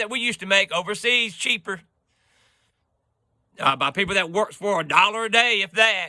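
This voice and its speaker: A man's raised, projected voice, high in pitch, animated in tone, at a moderate pace. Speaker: video blogger. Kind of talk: political rant to camera. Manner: loud.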